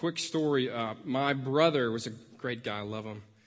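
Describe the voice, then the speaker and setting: The man speaks in a Memphis accent with ordinary pitch variation. Audible room echo surrounds his voice. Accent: Southern American (Memphis). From US South, Memphis, Tennessee. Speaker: pastoral resident. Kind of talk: sermon. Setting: church.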